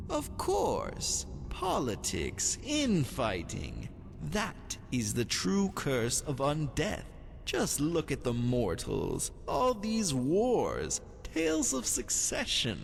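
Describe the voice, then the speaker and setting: A man's put-on character voice at a very slow pace, with clear background noise. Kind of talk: aristocratic drawl. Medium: solo performance. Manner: languid, silky, insinuating.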